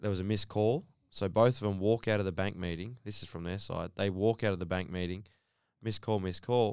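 With an Australian accent, a man speaks fairly quickly in a fairly low voice with fairly even intonation, on a very clean recording with a silent background. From Western Sydney, Australia. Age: 30s. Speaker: professional basketball player. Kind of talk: casual interview chat. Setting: studio.

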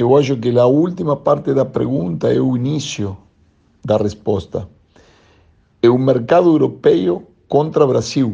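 A man speaks at a fairly slow pace in a Spanish accent, with long, frequent pauses. His medium-pitched voice has a dark, mellow tone and vocal fry. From Argentina, Buenos Aires. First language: Spanish (speaking Portuguese). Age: 50s. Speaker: volleyball coach. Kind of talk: interview. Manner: halting.

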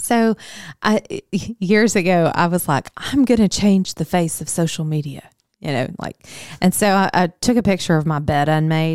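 On a very clean recording with a silent background and a dry, close sound with no echo, a woman with a Southern US accent speaks at a moderate pace and a fairly low pitch. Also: ordinary pitch variation. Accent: Southern American. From US South, Arkansas. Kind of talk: casual chat.

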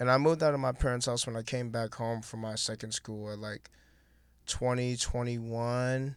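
In a very clean recording with a silent background, a man with an American accent speaks at a moderate pace and medium pitch, his intonation monotone and flat. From Milwaukee, Wisconsin. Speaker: former athlete, clothing creative. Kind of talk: casual chat.

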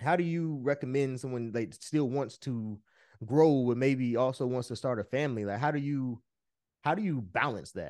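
Over a quiet background, a man talks in an unremarkable speaking voice at medium pitch with ordinary pitch variation. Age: 30s. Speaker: podcast host. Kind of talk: casual chat.

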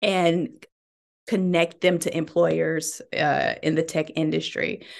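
Over a quiet background, a woman with a Southern US accent speaks at a fairly low pitch with ordinary pitch variation. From US South, Birmingham, Alabama. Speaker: tech startup CEO. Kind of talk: interview.

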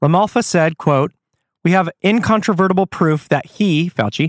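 Heard in a very clean recording with a silent background, a man uses a normal speaking voice at a fairly quick pace with ordinary pitch variation. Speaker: podcast host. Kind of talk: solo podcast commentary, reading news aloud.

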